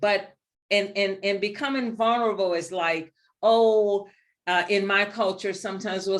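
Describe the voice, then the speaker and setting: At a moderate pace, a woman speaks in a medium pitch with a New Orleans accent. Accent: Southern, New Orleans. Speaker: leadership speaker. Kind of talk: webinar presentation. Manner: animated.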